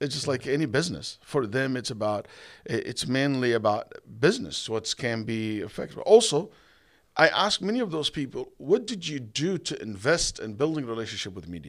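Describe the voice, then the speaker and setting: In an Arabic accent, a man speaks at medium pitch and a fairly quick pace with very wide pitch swings. The recording is very clean with a silent background. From Saudi Arabia, Egypt-born. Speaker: imam and Islamic scholar. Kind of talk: podcast interview. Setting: event venue.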